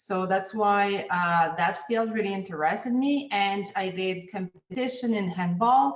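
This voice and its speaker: A woman with a Quebec accent speaks at a fairly slow pace and a medium pitch, with audible room echo. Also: ordinary pitch variation, hardly any pauses. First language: French. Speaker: ergonomist. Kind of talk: interview. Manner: hesitant with fillers.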